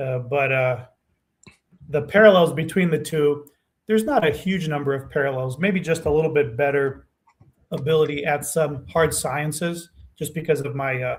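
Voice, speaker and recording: This man has a fairly high pitch and a somewhat breathy voice. He speaks at a moderate pace with ordinary pitch variation. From Romania, emigrated to US at almost seven. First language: Romanian. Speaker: nutrition scientist. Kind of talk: podcast interview. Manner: hesitant, many fillers.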